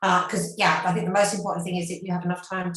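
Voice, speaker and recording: A woman speaks with a British accent. Her pitch is medium. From England, London. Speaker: university marketing staff. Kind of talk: webinar presentation.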